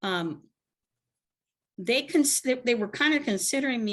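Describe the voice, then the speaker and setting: Very wide pitch swings mark this woman's voice. Her pace is moderate. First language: Spanish. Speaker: participant in a spiritual community discussion. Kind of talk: group discussion on a video call. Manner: halting, many restarts.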